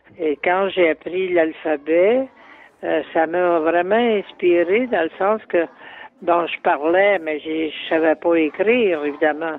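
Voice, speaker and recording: A man speaks very slowly in a high voice. His pitch varies in an ordinary way. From Quebec, Salaberry-de-Valleyfield. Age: 70s. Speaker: poet. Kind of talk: interview recollection. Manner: halting, repeats words.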